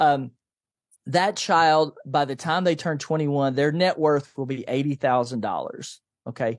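In a very clean recording with a silent background and a dry, close sound with no echo, a man with an American accent uses a normal speaking voice, fairly high pitch and lively intonation. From US South, Nashville, Tennessee. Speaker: financial coach and author. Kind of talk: interview.

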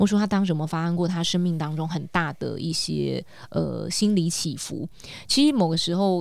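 Here a woman speaks at a fairly quick pace. Her pitch shows ordinary variation. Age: 40s. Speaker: podcast co-host and life coach. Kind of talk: casual chat. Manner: animated.

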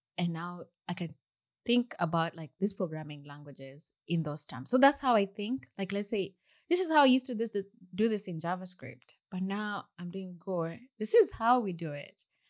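Speaking at a moderate pace with a Kenyan accent, a woman uses a medium pitch with very wide pitch swings and big swings in loudness, on a very clean recording with a silent background. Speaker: software engineer. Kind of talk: casual interview. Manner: soft-spoken.

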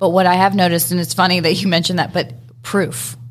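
A woman's fairly low-pitched voice comes through somewhat breathy. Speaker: distiller. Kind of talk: interview.

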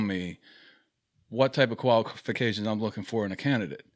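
An ordinary speaking voice from a man at medium pitch, with a moderate pace and ordinary pitch variation, on a very clean recording with a silent background. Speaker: safety professional guest. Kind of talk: casual debate discussion. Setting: studio.

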